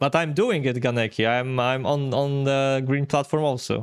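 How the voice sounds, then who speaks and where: With a Polish accent, a man speaks at medium pitch and a moderate pace, his intonation fairly even and his loudness very even. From Poland. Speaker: game streamer. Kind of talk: live gameplay commentary. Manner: casual, hesitant with fillers.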